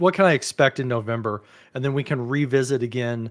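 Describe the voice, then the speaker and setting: A man at a fairly quick pace over a quiet background. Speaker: livestream co-host. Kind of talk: casual livestream chat explaining plans. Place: home room. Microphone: studio mic.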